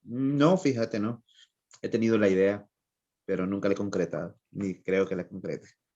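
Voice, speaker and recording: A man's dark, mellow tone sits at a fairly low pitch with ordinary pitch variation. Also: moderate pace. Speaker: writer. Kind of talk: interview.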